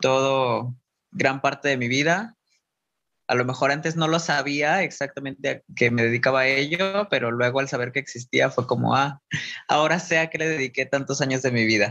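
Over a quiet background, a man with a fairly high, bright, sharp voice talks at a moderate pace with ordinary pitch variation. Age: 20s. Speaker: dancer and performer. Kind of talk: interview.

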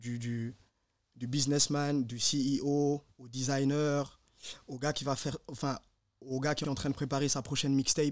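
On a very clean recording with a silent background, a man of medium pitch speaks at a moderate pace in a monotone, flat intonation. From Guinea, moved to Switzerland at 13. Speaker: podcast co-host. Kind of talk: casual chat.

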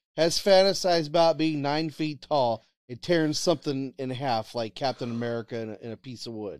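A man is talking. The sound is dry and close with no echo. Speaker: co-host. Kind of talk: casual banter. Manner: animated, rant-like.

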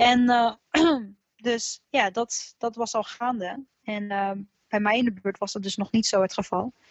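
This woman has an unremarkable speaking voice with a fairly high pitch. Her intonation stays fairly even at a fairly slow pace. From Netherlands, Alphen aan de Rijn. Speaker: singer in a band. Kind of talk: casual chat. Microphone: connection dropped out.

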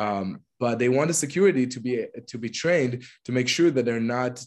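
A man speaks with an Israeli accent at a medium pitch. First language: Hebrew. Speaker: LGBTQ+ activist. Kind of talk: interview.

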